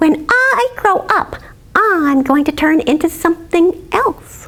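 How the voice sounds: A woman puts on a character voice at an extremely high pitch, speaking at a slow pace. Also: lively intonation, fairly bright tone.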